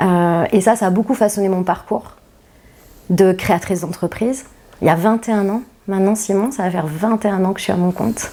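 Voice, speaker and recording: Her pace fairly quick despite long, frequent pauses, a woman speaks at a medium pitch with fairly even intonation. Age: 40s. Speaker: company founder. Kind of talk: interview. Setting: podcast interview. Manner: hesitant with many fillers.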